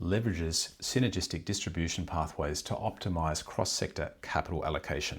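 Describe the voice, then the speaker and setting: This man's voice carries a somewhat breathy quality. His intonation rises and falls in a lively way. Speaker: speaking coach. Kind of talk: tutorial. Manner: fast.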